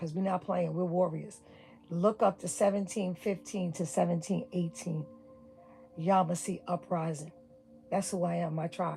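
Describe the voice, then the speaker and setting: Over music in the background, a woman with a New York accent talks at a moderate pace in a fairly low, fairly even voice, with long, frequent pauses. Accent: New York City. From New York City (Brooklyn). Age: 60s. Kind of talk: livestream rant.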